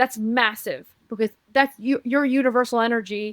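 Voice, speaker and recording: Recorded very cleanly with a silent background and a dry, close sound with no echo, the voice keeps a fairly even intonation. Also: woman. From Uruguay. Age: 40s. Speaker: spiritual reader and teacher. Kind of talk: podcast interview. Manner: fast.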